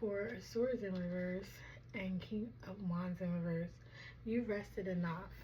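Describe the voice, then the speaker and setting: Soft-spoken and somewhat breathy, a woman talks at a medium pitch in a dark, mellow tone, with fairly even intonation, a fairly slow pace and audible room echo. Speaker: tarot reader. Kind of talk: tarot reading. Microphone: microphone clip broken, audio may be poor.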